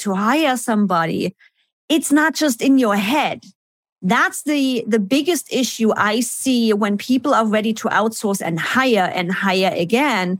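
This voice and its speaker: Speaking at a fairly slow pace with a non-native accent, a woman uses lively intonation and a fairly high pitch on a very clean recording with a silent background. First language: not English. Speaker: business efficiency consultant. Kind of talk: interview.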